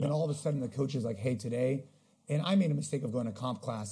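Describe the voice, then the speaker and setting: A man speaks at a very fast pace with ordinary pitch variation. He sounds somewhat breathy over a quiet background. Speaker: podcast guest. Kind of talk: interview answer. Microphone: video call.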